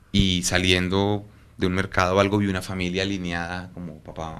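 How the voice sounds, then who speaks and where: Audible room echo around a man's very deep, low voice. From Colombia, Bogotá. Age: 40s. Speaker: photographer. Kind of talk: interview. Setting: at his home.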